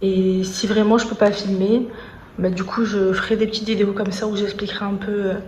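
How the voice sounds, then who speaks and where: A woman's medium-pitched voice at a moderate pace, monotone and flat, with audible room echo and noticeable background noise. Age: 20s. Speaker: vlogger. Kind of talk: casual vlog monologue. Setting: hospital. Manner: hesitant, many fillers.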